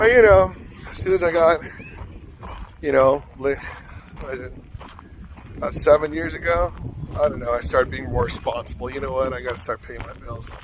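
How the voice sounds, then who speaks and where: A man talks with long, frequent pauses. Noticeable background noise runs behind him. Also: fairly quick pace, big swings in loudness. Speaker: vlogger and singing teacher. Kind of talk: casual vlog. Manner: rambling, casual.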